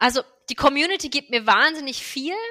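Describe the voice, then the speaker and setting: A woman with a high pitch and a bright, sharp tone uses a raised, projected voice. She talks at a fairly quick pace. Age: 30s. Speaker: MS blogger and yoga teacher. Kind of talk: interview.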